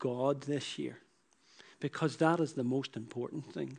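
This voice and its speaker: Speaking in a Northern Irish accent at a moderate pace, the voice has a dark, mellow tone and ordinary pitch variation. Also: man. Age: 40s. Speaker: preacher. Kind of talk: sermon. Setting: church.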